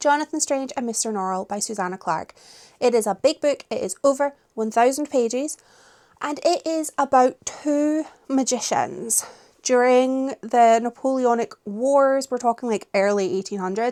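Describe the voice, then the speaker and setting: A woman with a Scottish accent speaks at a fairly slow pace in a high pitch, with ordinary pitch variation. The recording is very clean, with a silent background and a dry, close sound with no echo. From Scotland. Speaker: book vlogger. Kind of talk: casual vlog chat. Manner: animated.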